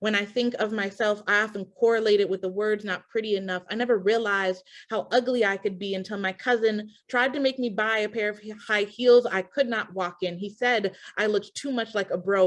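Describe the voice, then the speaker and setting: A woman with an American accent and an unremarkable speaking voice talks at a fairly quick pace and medium pitch, with fairly even intonation and a quiet background. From Milwaukee, Wisconsin. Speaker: spoken word poet. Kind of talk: poetry reading.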